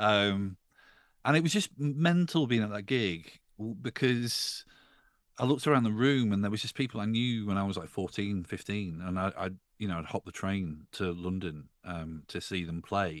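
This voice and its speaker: A normal speaking voice moves at a moderate pace with lively intonation on a very clean recording with a silent background. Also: man, fairly low pitch for a man. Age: 40s. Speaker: music journalist and podcaster. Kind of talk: casual chat.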